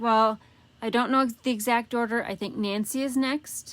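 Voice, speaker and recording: In a very clean recording with a silent background, a woman speaks at a fairly slow pace in a normal speaking voice, fairly high in pitch with ordinary pitch variation. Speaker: paper craft demonstrator. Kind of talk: live craft tutorial. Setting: Facebook Live stream. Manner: casual, chatty.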